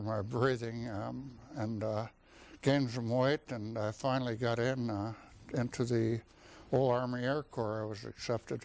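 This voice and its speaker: A man with an Upper Midwest US accent speaks at a moderate pace in a medium pitch, his intonation flat and monotone. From North Dakota. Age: 70s. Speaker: war veteran. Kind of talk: oral history interview. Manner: halting.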